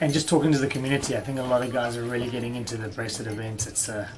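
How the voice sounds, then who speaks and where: A man talks at a very fast pace with a medium pitch and fairly even intonation. Audible room echo and noticeable background noise surround his voice. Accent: South African. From South Africa. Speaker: poker co-commentator. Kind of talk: casual chat.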